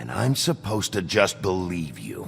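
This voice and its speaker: A man puts on a growling character voice at a moderate pace, with clear background noise behind him. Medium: video game. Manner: gruff, terse.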